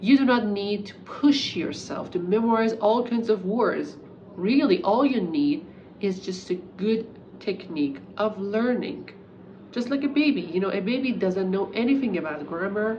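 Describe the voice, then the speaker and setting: Amid noticeable background noise and audible room echo, a woman speaks with a Persian accent. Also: medium pitch for a woman, lively intonation, moderate pace. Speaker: English teacher. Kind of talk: talking-head tutorial.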